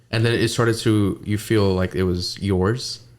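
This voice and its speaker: A man's fairly low voice with a Pakistani accent, at a moderate pace and with fairly even intonation, on a very clean recording with a silent background. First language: Urdu. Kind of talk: casual chat.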